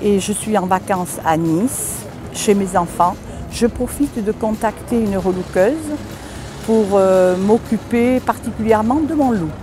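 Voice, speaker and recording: Music plays in the background as a woman speaks. She goes at a fairly slow pace with ordinary pitch variation. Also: medium pitch for a woman. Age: 60s. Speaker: makeover participant, retiree. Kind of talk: self-introduction.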